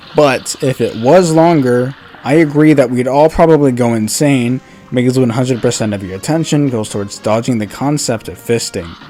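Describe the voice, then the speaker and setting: Against music in the background, a man talks at a medium pitch and moderate pace with ordinary pitch variation. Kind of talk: game commentary narration.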